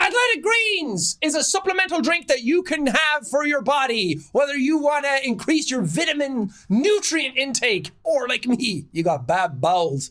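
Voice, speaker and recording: A man's raised, projected voice in an Irish accent, extremely high in pitch with very wide swings, at a moderate pace, with hardly any pauses and very even loudness. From Ireland.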